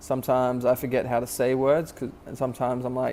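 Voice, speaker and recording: A man is mumbling at a very fast pace. His medium-pitched delivery is monotone and flat. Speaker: vlogger. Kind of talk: casual vlog monologue. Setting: at work during night shift. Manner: halting, filler-heavy; occasional mumbling.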